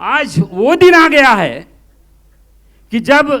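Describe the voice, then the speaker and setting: A man speaks in a raised, projected voice. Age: 70s. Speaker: doctor and political supporter at a rally. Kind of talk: political speech.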